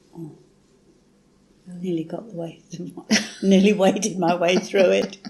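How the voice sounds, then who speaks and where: A woman in a British accent speaks with monotone, flat intonation, big swings in loudness and long, frequent pauses. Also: medium pitch for a woman, fairly slow pace. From England. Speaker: English reading tutor. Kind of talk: casual chat.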